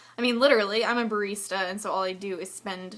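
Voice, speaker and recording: A woman talks with fairly even intonation. Noticeable background noise runs under her voice. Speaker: video blogger. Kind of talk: personal vlog. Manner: low energy.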